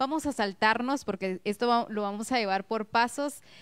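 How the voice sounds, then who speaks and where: Against a quiet background, a woman with an ordinary speaking voice talks at a fairly high pitch with ordinary pitch variation. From Guatemala. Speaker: local TV host; TV interviewer host. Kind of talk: TV interview. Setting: TV studio. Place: studio. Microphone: handheld.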